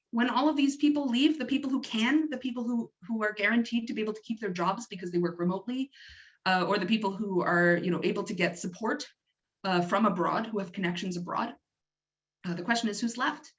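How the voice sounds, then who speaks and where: Very fast and somewhat breathy, a woman with a Canadian accent speaks at a fairly high pitch with lively intonation. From Canada. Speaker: doctoral researcher. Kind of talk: lecture.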